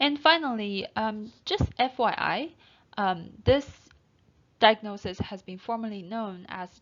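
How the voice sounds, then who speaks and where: Speaking at a fairly slow pace, a woman uses lively intonation at medium pitch. She talks with a non-native accent. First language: not English. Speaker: counseling instructor. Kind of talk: lecture. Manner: halting.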